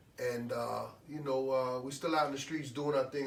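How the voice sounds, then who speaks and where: Over noticeable background noise and audible room echo, a man with an American accent speaks fairly quickly at a medium pitch in a monotone, flat delivery. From New York (Brooklyn). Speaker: radio DJ and reggae producer. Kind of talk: interview. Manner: halting, many fillers.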